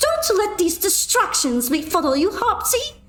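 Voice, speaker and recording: A woman puts on a squeaky character voice at an extremely high pitch, with very wide pitch swings and a moderate pace. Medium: virtual streamer. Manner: cool, dry.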